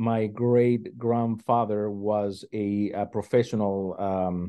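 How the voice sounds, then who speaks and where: A man speaks in a fairly low voice. His pitch varies in an ordinary way. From southern Mexico. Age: 50s. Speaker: musician. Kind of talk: interview. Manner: halting, many fillers and repeats.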